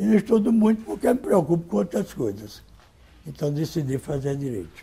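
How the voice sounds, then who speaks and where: This somewhat breathy voice has a dark, mellow tone and very wide pitch swings. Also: man. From Rio de Janeiro state, Brazil. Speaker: retired labour court judge. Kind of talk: oral history interview answer.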